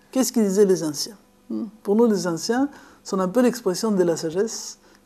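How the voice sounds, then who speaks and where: A woman's medium-pitched voice, dark and mellow in tone, with a slight Argentine accent. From Argentina, Buenos Aires. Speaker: philosophy lecturer and author. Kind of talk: lecture. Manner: halting, with repetitions.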